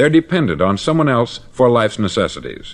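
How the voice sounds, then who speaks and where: Lively intonation marks a man's plain, everyday voice at medium pitch. He keeps a moderate pace. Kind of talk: motivational spoken-word lecture. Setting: vintage 1950s studio recording.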